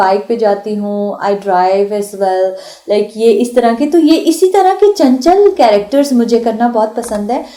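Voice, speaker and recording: A woman's fairly high, lively-intoned voice over noticeable background noise. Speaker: actress and voice artist. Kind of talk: radio interview. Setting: radio studio. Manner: sweet-toned.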